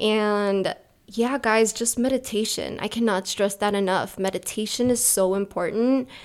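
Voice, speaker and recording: In an ordinary speaking voice with an American accent, a woman talks at a fairly slow pace with fairly even intonation and very even loudness. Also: fairly high pitch for a woman. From Chicago, US. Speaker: podcast host. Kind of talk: casual chat.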